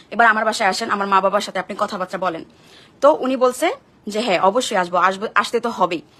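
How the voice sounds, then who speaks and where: A woman's voice at medium pitch, with ordinary pitch variation and noticeable background noise. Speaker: social media vlogger. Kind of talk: personal testimony vlog. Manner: emphatic.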